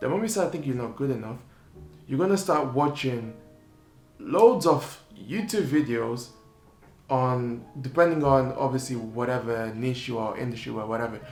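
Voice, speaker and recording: With audible room echo, a man at medium pitch speaks at a moderate pace with lively intonation. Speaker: entrepreneur vlogger. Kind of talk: unscripted vlog monologue.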